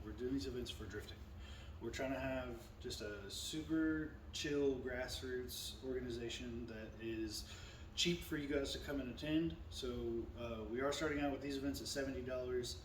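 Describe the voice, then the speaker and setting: This man speaks at a medium pitch and a fairly quick pace, somewhat breathy, with lively intonation. Audible room echo surrounds the voice. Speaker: vlogger and drift event organizer. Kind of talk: event info vlog.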